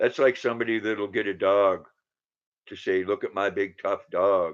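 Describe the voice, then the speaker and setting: Over a quiet background, a man speaks at a moderate pace. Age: 60s. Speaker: livestreamer chatting with viewers. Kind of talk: casual live-stream chat.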